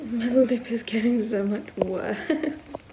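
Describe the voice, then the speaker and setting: A woman speaks very slowly in a tired tone, with ordinary pitch variation. Noticeable background noise runs underneath. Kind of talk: casual vlog chat. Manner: tired, weak voice after giving birth. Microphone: phone near.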